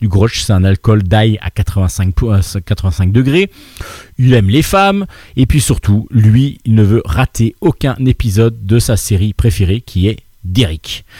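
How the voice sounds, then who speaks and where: A man speaks at medium pitch with lively intonation and a somewhat breathy quality. The recording is very clean, with a silent background and a dry, close sound with no echo. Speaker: radio host. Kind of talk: casual chat. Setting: bar.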